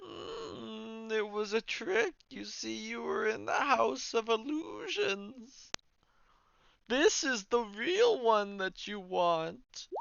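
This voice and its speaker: A man does a put-on character voice, pitched high. He talks at a very slow pace. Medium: actual play. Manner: theatrical, cryptic.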